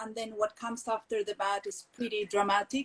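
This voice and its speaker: At a moderate pace, a woman talks with a fairly high pitch. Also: dry, close sound with no echo. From Colombia, Medellín. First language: Spanish. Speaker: textile entrepreneur. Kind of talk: interview conversation. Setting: video call. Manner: halting, many fillers.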